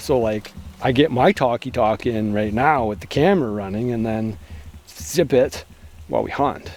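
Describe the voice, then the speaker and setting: With a Canadian accent, a man speaks at a moderate pace over noticeable background noise. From Canada. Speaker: outdoor survival vlogger. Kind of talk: casual vlog chat. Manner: joking, sarcastic.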